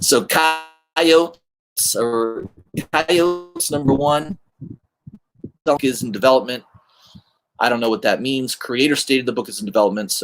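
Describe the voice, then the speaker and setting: With a slight Southern US accent, a man talks at medium pitch with ordinary pitch variation and long, frequent pauses. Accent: slight Southern drawl. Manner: slow, drawn-out speech.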